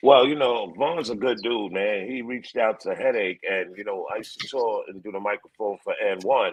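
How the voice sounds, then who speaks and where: A man with a Bronx accent talks at a fairly quick pace with ordinary pitch variation. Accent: New York, Bronx. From New York City, the Bronx. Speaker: hype man. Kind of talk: interview.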